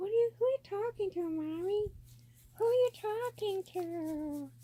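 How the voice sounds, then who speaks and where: At a moderate pace, a put-on character voice climbs to an extremely high pitch. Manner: curious, playful, asking questions.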